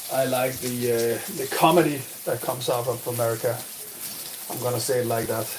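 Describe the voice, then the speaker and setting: A man's moderate-paced speech comes through noticeable background noise. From Denmark. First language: Danish. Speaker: streamer and gaming coach. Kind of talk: live stream chat. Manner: halting.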